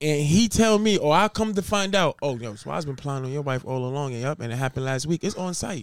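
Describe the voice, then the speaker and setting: With a New York accent, a man talks very fast, hardly pausing at all. His fairly high voice has lively intonation and a dry, close sound with no echo. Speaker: podcast co-host. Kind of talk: casual banter podcast.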